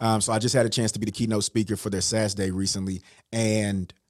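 This man talks at a fairly quick pace with an animated tone and a fairly low pitch. He speaks with an American accent. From US West Coast, Richmond, California. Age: 40s. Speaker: motivational speaker. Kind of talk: casual interview.

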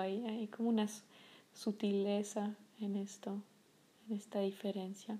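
Dark and mellow in tone, a woman's somewhat breathy voice stays in a monotone, flat intonation. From France, Paris. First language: French (speaking Spanish). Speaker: podcast host, meditation guide. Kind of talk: casual monologue. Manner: hesitant, many fillers.

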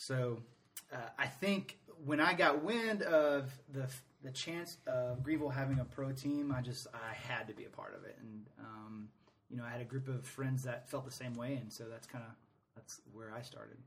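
Here is an unremarkable speaking voice, a man's with an American accent at medium pitch. His pace is moderate, his pitch varies in an ordinary way, and his loudness swings widely. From Atlanta, US South. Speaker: soccer supporters group president. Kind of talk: casual interview.

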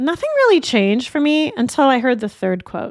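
Dry and close with no echo, a woman speaks in an unremarkable speaking voice at a moderate pace with lively intonation. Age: 50s. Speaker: podcast host. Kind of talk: solo podcast monologue.

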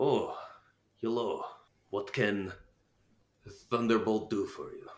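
A put-on character voice from a man, fairly slow in pace. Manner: friendly, greeting a passer-by.

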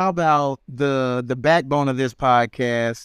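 This is a man talking. His pitch is fairly high. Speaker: podcast host. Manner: playful, upbeat.

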